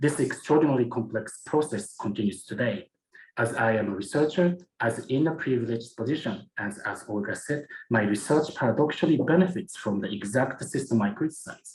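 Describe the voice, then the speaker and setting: A man with a Japanese accent, somewhat breathy, medium in pitch, at a fairly quick pace. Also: lively intonation. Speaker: museum curator and researcher. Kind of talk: conference presentation. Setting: academic symposium. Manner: formal.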